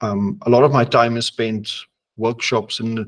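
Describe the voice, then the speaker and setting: Speaking with monotone, flat intonation, the man keeps a medium pitch. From South Africa. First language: Afrikaans or other non-English (second language English). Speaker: horror publisher and editor. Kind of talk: interview. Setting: studio.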